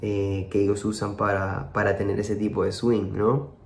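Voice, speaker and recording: Heard with audible room echo, a man with a fairly low pitch speaks at a moderate pace. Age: 30s. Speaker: music producer and percussionist. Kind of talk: interview. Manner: halting, many repetitions.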